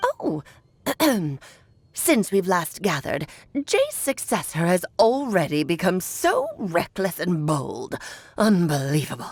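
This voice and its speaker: A woman's put-on character voice at a medium pitch and fairly slow pace, broken by long, frequent pauses. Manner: scornful, disapproving.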